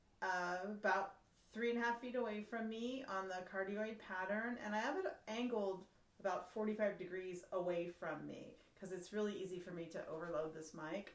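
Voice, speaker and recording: Audible room echo surrounds a woman of medium pitch who speaks at a moderate pace with ordinary pitch variation. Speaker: flute teacher. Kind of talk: tutorial.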